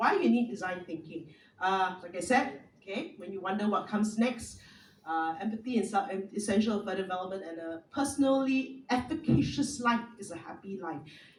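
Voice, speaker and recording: A woman of medium pitch speaks fairly quickly in a somewhat breathy voice, with lively intonation and big swings in loudness, amid audible room echo. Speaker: speaker, former radio professional. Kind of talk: talk to an audience. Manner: fast.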